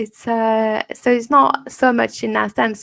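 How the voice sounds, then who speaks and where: The voice has a French accent, a moderate pace, and a dry, close sound with no echo. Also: woman. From France. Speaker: podcast host and fear coach. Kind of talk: interview.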